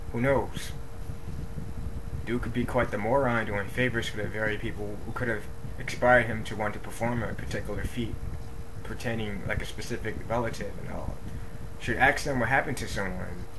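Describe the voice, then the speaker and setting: A man speaks at a fairly quick pace in a flat, monotone delivery, with long and frequent pauses. Noticeable background noise sits behind his voice. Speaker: video diarist. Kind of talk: video diary, reading notes to camera. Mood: irritated, dismissive. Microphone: webcam.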